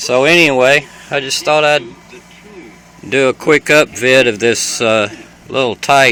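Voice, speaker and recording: A man at medium pitch with a Southern US accent, fairly even intonation and a fairly slow pace, long, frequent pauses, and noticeable background noise. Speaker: vlogger. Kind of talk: casual home video tour. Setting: inside his camper RV. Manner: hesitant, many fillers.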